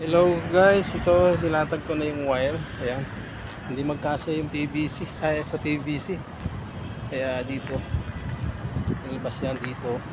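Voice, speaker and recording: Amid noticeable background noise and audible room echo, a man with a fairly high voice speaks with fairly even intonation and long, frequent pauses. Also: fairly slow pace. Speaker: vlogger and electrician. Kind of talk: casual vlog narration. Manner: halting, stumbling over words.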